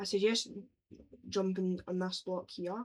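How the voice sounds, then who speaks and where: A woman speaks at a medium pitch with a flat, monotone intonation. Her pace is very slow. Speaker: Minecraft YouTuber. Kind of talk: gaming tutorial. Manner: casual.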